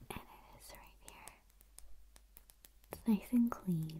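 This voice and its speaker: The speaker whispers in a soft-spoken way at a very slow pace. Light background noise can be heard. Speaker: vlogger. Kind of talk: casual vlog chat. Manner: soft close ASMR whisper.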